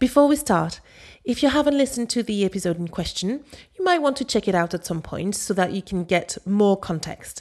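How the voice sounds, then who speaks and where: With a French accent, a woman speaks fairly quickly at a medium pitch, her tone upbeat. Her pitch swings very widely. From Paris, France. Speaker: language coach, podcast host. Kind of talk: scripted educational podcast monologue. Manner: clear, instructional, upbeat.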